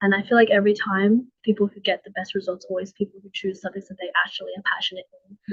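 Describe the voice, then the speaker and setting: In an Australian accent, a woman speaks at a very fast pace with big swings in loudness, the sound dry and close with no echo. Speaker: university student, scholarship winner. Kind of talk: casual interview. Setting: livestreamed seminar.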